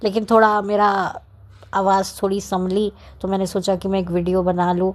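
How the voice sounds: The voice keeps a moderate pace and shows little pitch movement. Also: woman.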